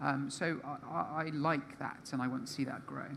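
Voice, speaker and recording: Speech comes at a moderate speed. It carries a British accent. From Britain. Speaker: panelist. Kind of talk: panel discussion.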